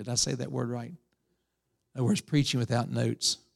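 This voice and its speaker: Vocal fry comes through in a dry, close sound with no echo on a very clean recording with a silent background. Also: man. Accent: Appalachian. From West Virginia. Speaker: preacher. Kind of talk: sermon.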